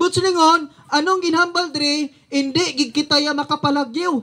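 In a raised, projected voice of extremely high pitch, a man speaks animatedly at a moderate pace. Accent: Western Visayas. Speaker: street preacher. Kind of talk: street sermon, fiery preaching. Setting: outdoors, addressing a crowd in a neighborhood. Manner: animated, forceful, rhetorical questions; confrontational, warning of judgment. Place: open country. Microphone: camera far.

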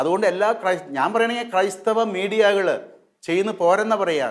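A man speaks in a high voice. His pitch varies in an ordinary way. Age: 60s. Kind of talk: religious talk to camera.

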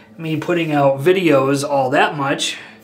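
Monotone, flat delivery from a man at fairly high pitch and moderate pace, with noticeable background noise. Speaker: wet shaving video creator. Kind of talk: casual monologue. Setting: home video, stationed in Turkey. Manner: casual, talkative, opinionated.

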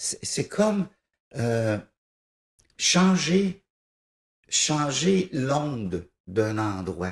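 A somewhat breathy man's voice with very wide pitch swings, audible room echo and a quiet background. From Quebec, raised in East Broughton / Thetford Mines; Quebec. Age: 50s. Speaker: musician, piano-bar organist and composer; interviewee. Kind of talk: TV interview, casual chat. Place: studio. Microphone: handheld.

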